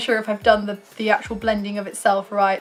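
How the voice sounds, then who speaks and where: Noticeable background noise accompanies a woman talking with a British accent. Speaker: YouTube reviewer. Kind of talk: casual product review to camera.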